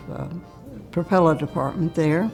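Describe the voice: Faint music plays behind a woman's voice. Her tone is slightly mellow, with vocal fry.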